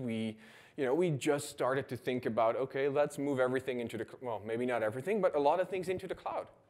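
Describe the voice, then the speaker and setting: With a Dutch accent and lively intonation, the speaker rattles along at a very fast pace. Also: man. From Netherlands. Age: 30s. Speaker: conference speaker. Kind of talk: conference talk.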